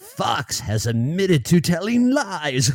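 A man's put-on character voice, high-pitched and sinister in tone, with very wide pitch swings at a fairly slow pace. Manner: evil, sinister.

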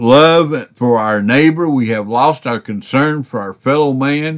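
Very slow speech with lively intonation. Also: man. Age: 60s. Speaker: podcast preacher. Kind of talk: sermon. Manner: halting.

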